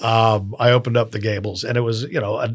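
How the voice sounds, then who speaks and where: In a very clean recording with a silent background, a man with a fairly low, somewhat breathy voice talks at a very fast pace in a monotone, flat intonation. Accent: American. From US South, Miami. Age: 50s. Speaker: restaurateur. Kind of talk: casual interview. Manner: hesitant, many fillers.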